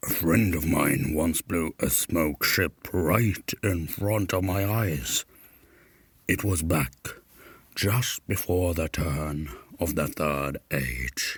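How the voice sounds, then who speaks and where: A man's rumbling, put-on character voice with very deep, low pitch and a very slow pace. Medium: read story.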